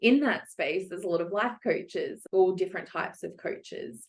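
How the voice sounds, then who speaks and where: A woman talks with an Australian accent. Her pace is moderate. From Australia, Melbourne. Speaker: psychologist and coach. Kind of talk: interview podcast.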